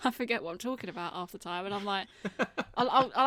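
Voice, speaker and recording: Speaking very fast with a British accent, a woman uses a bright, sharp tone at medium pitch with ordinary pitch variation. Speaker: podcast co-host. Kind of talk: casual chat.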